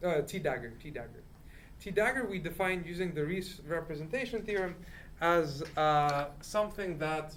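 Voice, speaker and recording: A loud, high-pitched man's voice at a moderate pace, with ordinary pitch variation and audible room echo. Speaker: student presenter in math study group. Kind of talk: lecture. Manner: halting.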